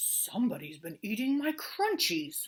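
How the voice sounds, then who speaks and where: A woman uses a growling, high-pitched, put-on character voice with very wide pitch swings. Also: moderate pace. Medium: read story.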